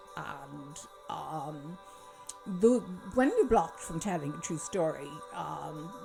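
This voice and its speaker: With music in the background, a woman with a fairly low pitch speaks at a very slow pace with long, frequent pauses, big swings in loudness and very wide pitch swings. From Kerry, south-west Ireland. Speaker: doctor. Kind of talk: casual talk to camera. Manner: hesitant, many fillers.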